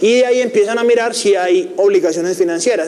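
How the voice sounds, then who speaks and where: This man's high voice moves in very wide pitch swings. Noticeable background noise and audible room echo surround him. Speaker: finance teacher. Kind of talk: lecture. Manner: fast.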